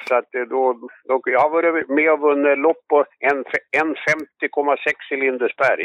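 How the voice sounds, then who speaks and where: A man's fairly high voice in a monotone, flat delivery. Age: 70s. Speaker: amateur harness racing trainer and breeder. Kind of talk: casual interview.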